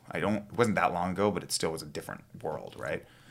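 Someone with a Canadian accent speaks at a very fast pace with ordinary pitch variation. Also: man. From western Canada (Kamloops, British Columbia interior). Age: 30s. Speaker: strength coach and photographer. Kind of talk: casual chat.

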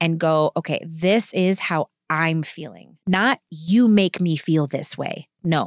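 A woman with an American accent and an unremarkable speaking voice talks at a fairly slow pace with ordinary pitch variation, on a very clean, dry, close recording with no echo and a silent background. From Wisconsin, Kenosha. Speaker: pastor. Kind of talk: testimony.

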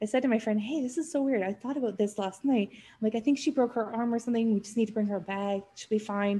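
Speaking with a western Canadian accent, a woman has a fairly high pitch and a dark, mellow tone. Her voice is somewhat breathy, with fairly even intonation. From Canada, North Vancouver. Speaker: podcast producer, business owner. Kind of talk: casual interview chat.

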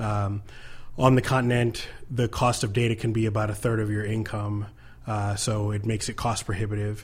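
Somewhat breathy and fairly low, a man's voice with an American accent moves at a moderate pace in monotone, flat intonation. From US. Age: 30s. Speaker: nonprofit co-founder, military veteran. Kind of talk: interview. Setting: studio.

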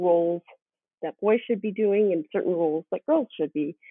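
A woman with a Canadian accent, an ordinary speaking voice, ordinary pitch variation and a moderate pace. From western Canada. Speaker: former university basketball player. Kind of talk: casual chat.

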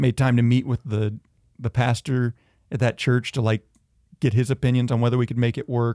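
In a dry, close recording with no echo, a man talks at a medium pitch and a fairly quick pace, his tone dark and mellow and his intonation flat and monotone. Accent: Southern US. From US South (Georgia and northeast Tennessee). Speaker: school administrator, recent convert. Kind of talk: faith testimony in casual interview.

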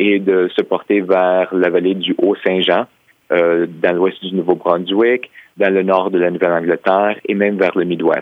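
The man has a very deep, low pitch and a monotone, flat intonation. He talks at a fairly slow pace. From Quebec. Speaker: historian and author. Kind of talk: interview.

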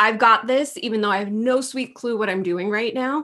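A woman's fairly high voice comes across animated, with a bright, sharp tone and ordinary pitch variation, in a very clean recording with a silent background. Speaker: business coach. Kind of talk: casual interview.

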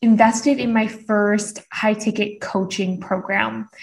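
Somewhat breathy, a woman talks at a medium pitch and a very slow pace. Her intonation is fairly even, and the very clean recording has a silent background. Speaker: business coach. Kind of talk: interview.

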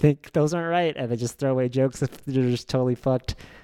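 Speaking at a fairly quick pace in an ordinary speaking voice, a man with a medium pitch sounds dry and close with no echo, on a very clean recording with a silent background. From Oklahoma, Norman. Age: 30s. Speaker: stand-up comedian. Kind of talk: casual chat.

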